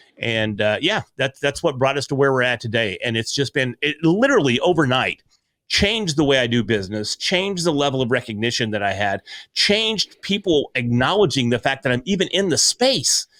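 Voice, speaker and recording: Loud and bright with a sharp tone, a man with an American accent speaks at a fairly quick pace and medium pitch, his pitch swinging very widely in a dry, close sound with no echo. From US Ozarks. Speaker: podcaster and speaker. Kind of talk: interview conversation.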